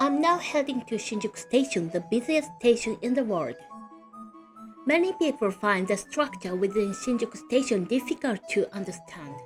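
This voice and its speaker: Against background music, a woman with fairly high pitch speaks at a moderate pace, her pitch swinging very widely. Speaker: travel guide. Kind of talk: travel guide narration. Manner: calm.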